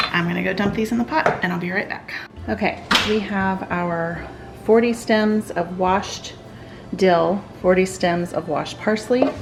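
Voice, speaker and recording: Over music in the background, a woman speaks at a fairly slow pace with medium pitch and ordinary pitch variation. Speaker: home cooking channel host. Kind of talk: cooking tutorial.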